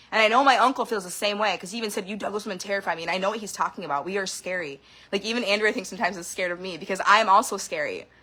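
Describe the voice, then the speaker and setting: Animated and very fast, a woman speaks with hardly any pauses, a medium pitch, ordinary pitch variation and big swings in loudness. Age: 30s. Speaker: vlogger sharing personal experiences. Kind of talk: emotional personal monologue.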